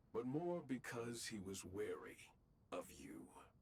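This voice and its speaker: At a fairly slow pace, a man puts on a character voice at a medium pitch. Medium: video game. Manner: haughty, solemn.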